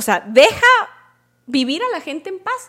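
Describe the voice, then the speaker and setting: A woman is speaking. Her pitch swings very widely. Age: 30s. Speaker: podcast host and entrepreneur. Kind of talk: motivational monologue.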